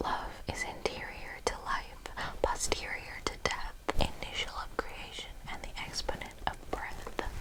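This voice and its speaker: The speaker is whispering at a fairly slow pace. Background noise is noticeable. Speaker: ASMR creator. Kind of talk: poetry reading. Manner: whispered.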